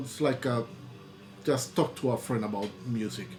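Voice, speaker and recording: At a moderate pace and with fairly even intonation, the speaker talks in a Spanish accent over faint background music. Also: man. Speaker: YouTuber and record label owner; YouTuber. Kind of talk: casual vlog talk to camera. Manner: halting, with many repetitions and fillers. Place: home room. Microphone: webcam.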